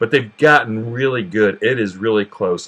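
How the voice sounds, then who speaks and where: In a Southern US accent, a man speaks at a moderate pace with fairly even intonation. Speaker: cooking channel host. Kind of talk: tutorial. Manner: casual, with frequent fillers and repetitions.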